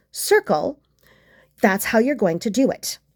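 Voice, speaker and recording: Lively in intonation and fairly high in pitch, a woman uses a normal speaking voice on a very clean recording with a silent background. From Canada. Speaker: crochet tutorial host. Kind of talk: tutorial.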